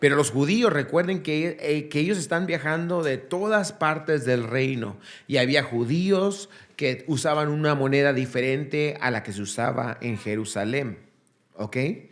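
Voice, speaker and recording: Speaking at a fairly slow pace, a man uses lively intonation and a fairly high pitch, with audible room echo. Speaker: pastor. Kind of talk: sermon. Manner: halting.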